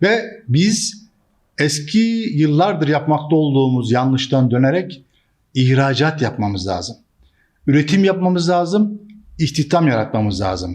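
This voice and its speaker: A man speaks at a fairly slow pace against a quiet background. His voice is fairly high and swings very widely in pitch. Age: 60s. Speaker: businessman. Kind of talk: monologue to camera. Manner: frequent hesitations.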